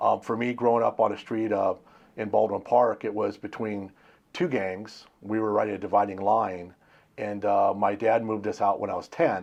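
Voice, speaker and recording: A plain, everyday voice from a man with an American accent, fairly low pitch, fairly even intonation and a moderate pace, against a quiet background. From Pennsylvania, after early childhood near Los Angeles. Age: 60s. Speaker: interviewer. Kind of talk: interview.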